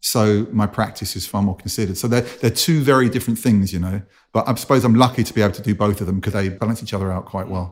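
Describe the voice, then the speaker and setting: A man's fairly low voice at a very fast pace, with ordinary pitch variation, on a very clean recording with a silent background. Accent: London. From North London, England. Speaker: musician, producer and DJ. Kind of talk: interview conversation.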